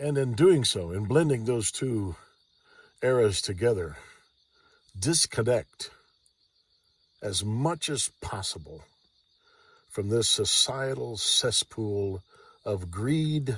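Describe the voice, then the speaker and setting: A man with an American accent speaks at a very slow pace in a relaxed, somewhat breathy voice of medium pitch, his lively intonation broken by long, frequent pauses on a very clean recording with a silent background. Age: 60s. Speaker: vlogger. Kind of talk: casual monologue. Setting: lying in a Jeep outdoors at night. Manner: relaxed, hesitant with fillers.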